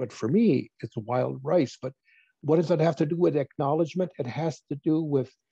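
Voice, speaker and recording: With an American accent, the voice is somewhat breathy and dark and mellow in tone, moving at a moderate pace. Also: man, dry, close sound with no echo. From northern Wisconsin, Lake Superior region. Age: 70s. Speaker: Native elder and former college teacher. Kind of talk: interview. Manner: halting, with false starts.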